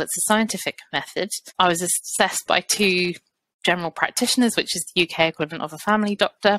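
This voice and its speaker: In a British accent, a woman talks at a fairly quick pace and medium pitch, with ordinary pitch variation, a bright, sharp tone and a dry, close sound with no echo. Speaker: fertility therapist. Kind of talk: podcast interview.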